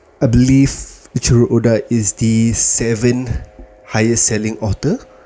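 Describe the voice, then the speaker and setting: Amid noticeable background noise, a man at medium pitch talks at a fairly slow pace. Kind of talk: casual talk to camera.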